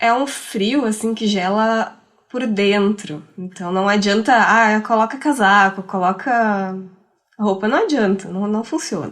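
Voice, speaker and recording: A normal speaking voice at a fairly slow pace, with ordinary pitch variation. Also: woman, fairly high pitch for a woman. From Rio Grande do Sul, Brazil. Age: 30s. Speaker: podcaster. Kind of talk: casual chat.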